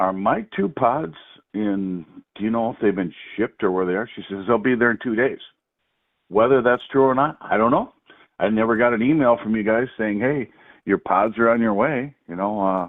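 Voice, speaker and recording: Speaking at a moderate pace, a man keeps a medium pitch with ordinary pitch variation. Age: 60s. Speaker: caller. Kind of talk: phone complaint to customer service. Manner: halting, many repetitions and fillers.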